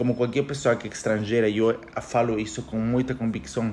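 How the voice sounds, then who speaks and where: A man with a Spanish accent talks at a very fast pace over noticeable background noise. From Ecuador. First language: Spanish (speaking Portuguese). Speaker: economist podcaster. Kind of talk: casual monologue podcast. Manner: halting, self-correcting.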